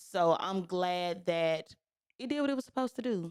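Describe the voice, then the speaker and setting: Speaking at a moderate pace with a Southern US accent, a woman uses an animated tone and a fairly low pitch, with a dry, close sound with no echo. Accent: Southern, country. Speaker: podcast host. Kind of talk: casual chat.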